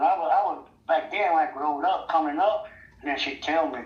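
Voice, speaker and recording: The speaker has a Mississippi accent and talks fairly quickly. Background noise is noticeable. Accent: US Southern, Mississippi. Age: 60s. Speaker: interviewee in street video. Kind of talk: street interview.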